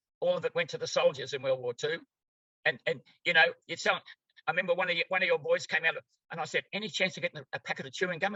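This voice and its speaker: The pace of this man's talking is very fast. He has an Australian accent. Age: 90s. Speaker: therapy practitioner. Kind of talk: interview. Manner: halting.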